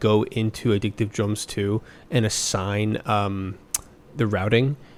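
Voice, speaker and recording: A soft-spoken man talks here. His pitch sits in the medium range. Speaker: student music producer. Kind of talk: tutorial. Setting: at home late at night. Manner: casual, rambling.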